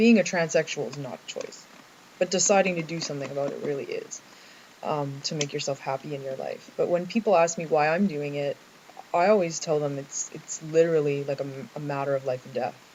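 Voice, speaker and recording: Someone with a Canadian accent talks at a fairly quick pace over noticeable background noise. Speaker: vlogger. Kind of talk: personal video diary. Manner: halting, many fillers.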